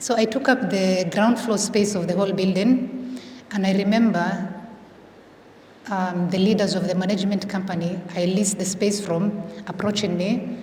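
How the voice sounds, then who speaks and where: A woman of medium pitch speaks at a moderate pace with fairly even intonation, amid audible room echo and noticeable background noise. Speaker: entrepreneur, salon owner. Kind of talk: panel discussion. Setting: panel event with audience. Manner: code-switching between English and Somali.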